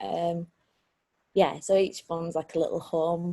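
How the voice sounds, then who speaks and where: A somewhat breathy voice with a Lancashire accent speaks at a moderate pace. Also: woman. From Lancashire, England. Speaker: street artist. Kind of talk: interview answer.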